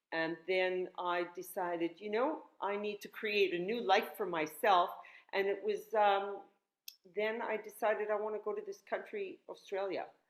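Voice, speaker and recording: A woman with a Canadian accent speaks at a moderate pace, at a medium pitch and with ordinary pitch variation. It is an ordinary speaking voice. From northern Canada. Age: 60s. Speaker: yoga instructor and health teacher. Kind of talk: casual interview chat.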